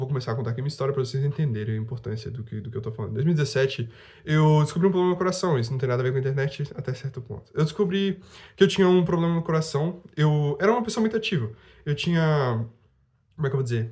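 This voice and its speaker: A man talks at a very fast pace, pitched fairly high with lively intonation and a somewhat breathy sound. The recording is very clean, with a silent background. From Brazil, Rondônia. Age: 20s. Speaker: youtuber. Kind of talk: casual vlog monologue.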